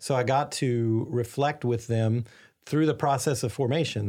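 With an American accent, a man speaks in a dark, mellow tone and fairly even intonation on a very clean recording with a silent background. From Arkansas, US South. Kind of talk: interview.

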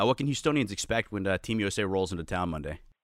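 Speaking at a very fast pace in a fairly low voice, a man comes through on a very clean recording with a silent background. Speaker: podcast co-host. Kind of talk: casual podcast chat.

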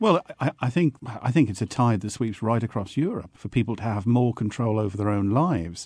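A man with a southern English accent talks at a fairly quick pace and medium pitch with hardly any pauses. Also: lively intonation. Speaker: panel guest. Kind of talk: panel discussion.

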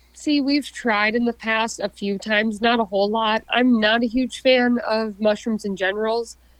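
With an Upper Midwest accent, a woman speaks at a moderate pace in a fairly high voice with fairly even intonation. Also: hardly any pauses. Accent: Upper Midwest American. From southern Minnesota. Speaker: outdoorswoman, hunter and angler. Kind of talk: casual interview chat.

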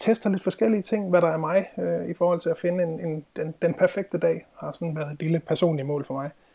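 This man has a dark, mellow tone and a high pitch. He talks at a moderate pace with fairly even intonation. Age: 30s. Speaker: productivity trainer. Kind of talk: interview.

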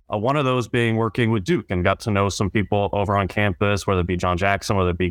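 A man with an American accent talks at a very fast pace, his fairly low voice keeping a fairly even intonation. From North Carolina, military family moving around. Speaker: sports play-by-play announcer. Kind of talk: casual interview.

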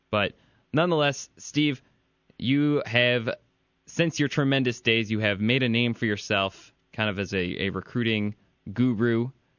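A man with a Midwestern American accent speaks with ordinary pitch variation. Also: medium pitch for a man, fairly slow pace. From Michigan (Ann Arbor). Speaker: podcast host, sports writer. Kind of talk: casual chat; interview.

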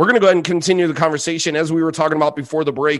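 A man's fairly high voice with an animated, enthusiastic tone. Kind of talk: sports analysis podcast chat. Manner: animated, enthusiastic, gushing over a prospect's speed and power; conversational, stumbling and laughing mid-sentence.

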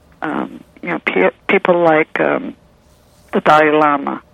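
Noticeable background noise surrounds a woman who talks at a fairly slow pace. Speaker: poet and nurse. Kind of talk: interview, reading poetry.

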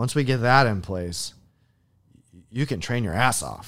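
Speaking with an American accent at a moderate pace, this voice shows ordinary pitch variation on a very clean recording with a silent background. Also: man. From US Midwest (Iowa). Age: 40s. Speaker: military veteran and trainer. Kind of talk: casual interview. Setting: studio.

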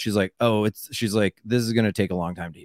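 At a fairly quick pace, a normal speaking voice comes through dry and close with no echo on a very clean recording with a silent background. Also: man. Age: 40s. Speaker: comedian. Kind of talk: casual chat.

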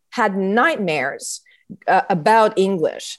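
This woman has a Quebec accent. She talks at a very slow pace. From Quebec (Montreal). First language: French. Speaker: theatre artist and musician. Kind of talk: interview conversation. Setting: video call. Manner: hesitant, many fillers.

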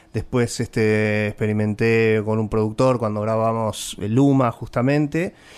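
A man's voice at medium pitch, with a fairly slow pace. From Buenos Aires. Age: 40s. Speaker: singer-songwriter. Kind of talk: interview. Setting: radio studio.

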